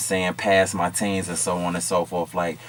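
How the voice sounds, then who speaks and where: In an American accent, a man with a very deep, low pitch speaks at a moderate pace over noticeable background noise. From Chicago, South Side. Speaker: content creator and rapper. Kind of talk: interview.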